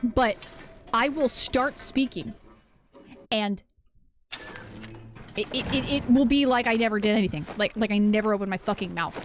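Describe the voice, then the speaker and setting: Against background music, a woman with a fairly high pitch speaks at a moderate pace. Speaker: game streamer. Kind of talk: casual chat. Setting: live stream.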